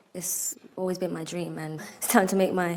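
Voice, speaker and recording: A woman with a British accent at a moderate pace, fairly low in pitch and flat in a monotone, amid noticeable background noise and audible room echo. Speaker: model contestant. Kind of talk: press conference answers.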